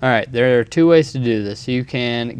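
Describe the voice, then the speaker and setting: A man mumbles his words. His intonation stays fairly even. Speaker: video editing tutorial maker. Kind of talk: tutorial. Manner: mumbling; casual, hesitant with many ums.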